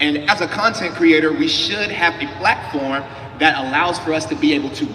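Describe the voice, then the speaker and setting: A man's fairly high voice with an American accent, amid noticeable background noise and audible room echo. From Atlanta, US South. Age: 20s. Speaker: panelist, entrepreneur and content creator. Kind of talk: panel talk on stage. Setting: stage with audience. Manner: animated.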